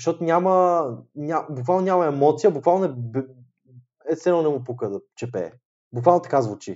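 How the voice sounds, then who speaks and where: With an unremarkable speaking voice, a man talks at a moderate pace in a fairly high pitch with lively intonation. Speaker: podcast co-host. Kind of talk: casual chat.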